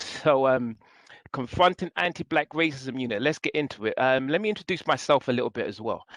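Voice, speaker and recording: A man with a London accent, fairly high pitch and ordinary pitch variation, at a fairly quick pace, in a dry, close sound with no echo. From England (East London). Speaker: city government staff, presenter. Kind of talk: guest lecture. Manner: fast.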